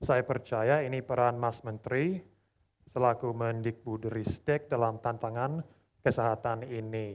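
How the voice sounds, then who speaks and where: With fairly even intonation and a medium pitch, this man talks at a fairly slow pace. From Australia. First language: English (speaking Indonesian). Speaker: language learner, competition participant. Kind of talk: self-introduction; reading aloud a letter. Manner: formal.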